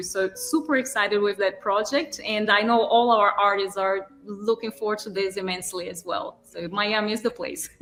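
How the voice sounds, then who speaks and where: In a strong Brazilian accent, the speaker keeps a moderate pace and fairly even intonation amid noticeable background noise. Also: woman. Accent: thick Brazilian Portuguese. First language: Portuguese. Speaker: artist and gallery manager. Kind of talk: interview.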